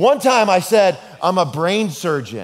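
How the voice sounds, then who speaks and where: Over light background noise, a man talks with very wide pitch swings. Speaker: pastor. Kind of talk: sermon. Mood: humorous storytelling. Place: hall.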